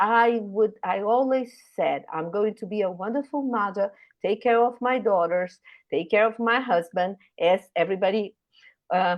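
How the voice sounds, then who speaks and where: A woman speaks in a Brazilian Portuguese accent at medium pitch, with ordinary pitch variation and a moderate pace. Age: 60s. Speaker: retired scientist, professor. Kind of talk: career talk at online panel.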